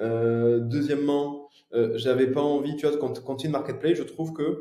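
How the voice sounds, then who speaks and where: A man speaks in a Toulouse accent with a dark, mellow tone. His voice is somewhat breathy, with fairly even intonation. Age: 30s. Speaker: entrepreneur, consulting firm founder. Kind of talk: podcast interview. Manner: hesitant, many fillers.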